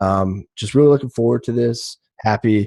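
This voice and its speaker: Recorded dry and close with no echo against a quiet background, a man with a Great Lakes accent speaks at a fairly low pitch. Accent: US Midwest (Great Lakes). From suburban Detroit, Michigan. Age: 20s. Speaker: sports podcast co-host. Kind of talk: casual sports talk show. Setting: live stream studio.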